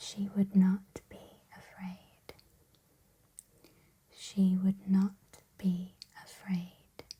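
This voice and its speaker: In a soft-spoken, calm tone, the speaker goes very slowly, with long, frequent pauses. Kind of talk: reading book quotes, ASMR affirmations.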